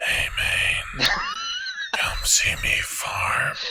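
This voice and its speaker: A man whispers in a put-on character voice. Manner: whispery.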